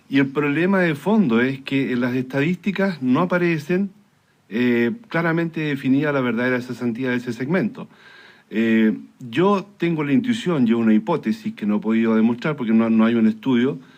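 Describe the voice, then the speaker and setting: The speaker uses lively intonation at a moderate pace in a very clean recording with a silent background. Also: man, medium pitch for a man. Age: 60s. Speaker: engineer and career consultant. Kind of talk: radio interview. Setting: radio studio. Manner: hesitant, many fillers.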